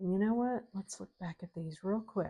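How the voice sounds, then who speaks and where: With a dark, mellow tone, this woman's somewhat breathy voice holds a medium pitch and shows ordinary pitch variation. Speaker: craft youtuber. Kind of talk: tutorial. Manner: casual, thinking aloud.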